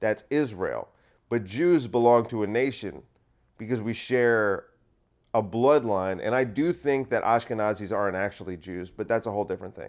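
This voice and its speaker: A man with a normal speaking voice, medium pitch, ordinary pitch variation and moderate pace, on a very clean recording with a silent background. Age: 30s. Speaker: solo podcaster and comedian. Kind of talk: casual solo monologue. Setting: at home in apartment.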